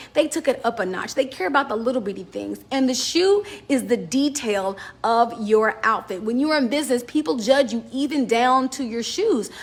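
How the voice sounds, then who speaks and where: Loud and animated, a woman speaks in a high pitch at a moderate pace with lively intonation. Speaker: business fashion vlogger. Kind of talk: casual advice talk to camera.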